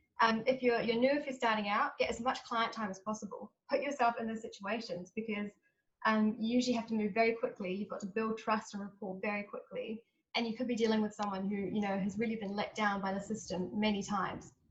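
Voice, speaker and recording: A woman speaks very fast at a fairly high pitch. Her voice is somewhat breathy, and her intonation fairly even. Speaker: lawyer working with trafficking victims. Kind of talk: panel talk.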